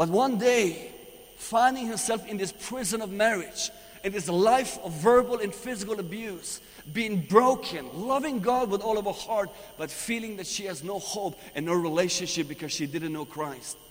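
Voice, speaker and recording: Over noticeable background noise, a man with a Persian accent speaks at a moderate pace in a high pitch, his tone animated and his intonation lively. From Iran. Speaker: visiting preacher. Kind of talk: sermon. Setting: church.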